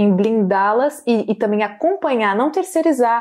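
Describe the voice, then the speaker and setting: A woman speaks in a plain, everyday voice, fairly high in pitch. Her pace is fairly slow, with ordinary pitch variation. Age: 20s. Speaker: podcast host, political commentator. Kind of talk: casual interview. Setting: in person, studio.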